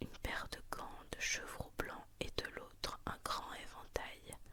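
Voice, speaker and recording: A woman's whisper at a very slow pace, with noticeable background noise. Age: 20s. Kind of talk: ASMR bedtime story reading. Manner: whispered.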